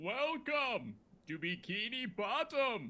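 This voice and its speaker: Put-on character voice from a man, pitched extremely high and delivered at a very slow pace. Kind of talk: sing-song announcer style.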